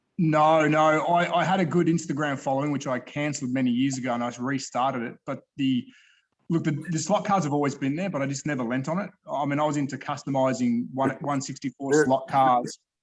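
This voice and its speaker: In an Australian accent, a man speaks fairly quickly with a fairly high pitch and fairly even intonation. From Australia, Melbourne. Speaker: slot car YouTuber and collector. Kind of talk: casual chat. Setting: video call. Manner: halting.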